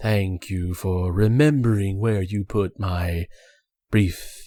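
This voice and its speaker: A man does a put-on character voice at a fairly low pitch and fairly slow pace. The recording is very clean with a silent background. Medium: virtual streamer. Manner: clipped, formal.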